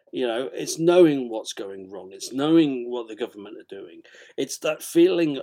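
In a British accent, a man with a fairly high pitch and a dark, mellow tone speaks at a fairly slow pace, with lively intonation and big swings in loudness. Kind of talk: book reading and chat interview, comedic. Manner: hesitant, stammering.

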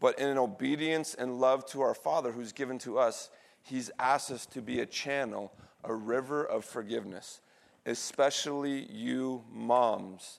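A plain, everyday voice from a man, medium in pitch with ordinary pitch variation, at a fairly slow pace, on a very clean recording with a silent background. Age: 40s. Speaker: pastor. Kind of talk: sermon. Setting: church.

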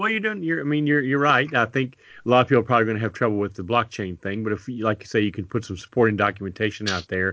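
Very fast in pace, a man speaks at a medium pitch. His pitch variation is ordinary. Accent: Kentucky. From Kentucky, Lexington. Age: 60s. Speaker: podcast co-host. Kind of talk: casual chat.

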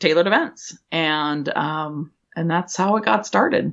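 A woman speaks at a fairly low pitch with ordinary pitch variation. It is an ordinary speaking voice. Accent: American. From Washington State, US. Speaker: event planner and business owner. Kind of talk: podcast interview.

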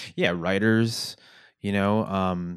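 A man with a fairly low pitch is heard on a very clean recording with a silent background. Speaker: podcast host and teacher. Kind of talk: casual conversational interview. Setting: video recording for YouTube. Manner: filler-heavy, hesitant.

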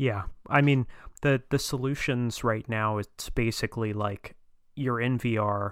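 A normal speaking voice from a man, medium in pitch, fairly slow and fairly even in intonation, on a very clean recording with a silent background. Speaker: guest. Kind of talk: casual chat.

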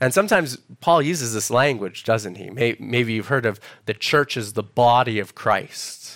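A normal speaking voice with a Canadian accent, at a moderate pace and with ordinary pitch variation. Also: man, medium pitch for a man. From Canada, Alberta (Edmonton). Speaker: preacher. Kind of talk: sermon. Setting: church.

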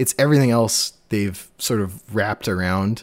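On a very clean recording with a silent background, a man speaks at a fairly low pitch with ordinary pitch variation. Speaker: podcast host. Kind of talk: casual chat. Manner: fast.

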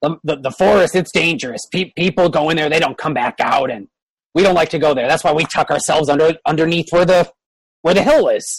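The voice is a put-on character voice. Its pitch sits in the middle. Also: moderate pace. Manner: hesitant, casual, a bit nervous.

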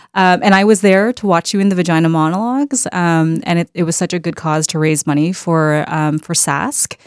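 Speaking at a fairly quick pace, a woman with a fairly low pitch uses ordinary pitch variation. The recording is very clean, with a silent background. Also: hardly any pauses, dry, close sound with no echo. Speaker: podcast host. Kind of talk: podcast conversation, co-hosted. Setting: recording studio. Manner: nervous at first.

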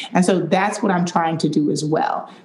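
A woman speaks with a fairly low pitch. There is noticeable background noise behind her. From Detroit, Michigan. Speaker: wellness app founder. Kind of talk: casual interview.

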